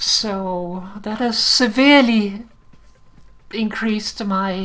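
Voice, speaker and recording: A woman with a Danish accent speaks at a medium pitch, somewhat breathy, with fairly even intonation. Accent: mild Danish accent, somewhat British-sounding. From Denmark. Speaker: game streamer. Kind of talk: live game stream with tutorial explanation. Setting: live stream.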